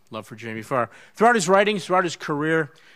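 A man's voice over a quiet background. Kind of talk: formal introduction speech. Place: hall. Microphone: podium.

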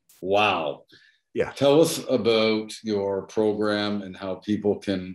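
Room echo is audible against a quiet background. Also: man. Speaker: real estate agent and group host; group host. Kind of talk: interview. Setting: video call. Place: office. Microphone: webcam.

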